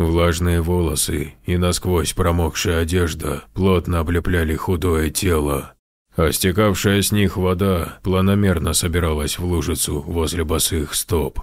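A man puts on a character voice, talking at a moderate pace in a very deep, low register. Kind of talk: horror narration.

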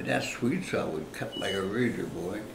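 A man's voice with ordinary pitch variation against noticeable background noise. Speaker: retired logger and homesteader. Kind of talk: interview answer. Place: home room. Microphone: camera far.

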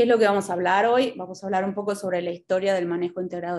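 Her voice sits at a medium pitch. The woman keeps her intonation fairly even. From Buenos Aires, Argentina. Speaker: extension educator and agronomist. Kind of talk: lecture. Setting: video call. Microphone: video call.

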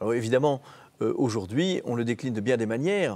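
This man's voice has a dark, mellow tone. His intonation is lively. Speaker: youth network director. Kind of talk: TV interview. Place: studio. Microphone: lapel.

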